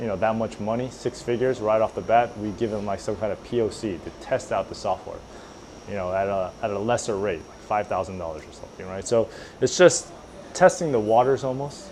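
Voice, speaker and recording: Talking at a fairly quick pace, a man shows ordinary pitch variation and big swings in loudness over noticeable background noise. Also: fairly low pitch for a man. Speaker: entrepreneur. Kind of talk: casual chat.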